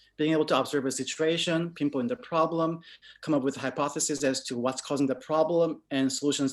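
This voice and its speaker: Speaking fairly quickly with a non-native accent, a man uses a fairly high pitch with ordinary variation. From moved to an English-speaking country in middle school. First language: not English. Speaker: UX/UI designer. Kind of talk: panel Q&A. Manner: halting, repeats words.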